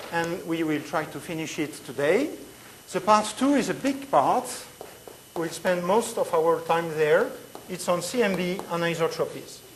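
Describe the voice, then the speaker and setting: A woman with a French accent speaks at a fairly slow pace in a fairly low voice with lively intonation. Audible room echo and noticeable background noise fill the recording. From Switzerland. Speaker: physics lecturer. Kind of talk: lecture.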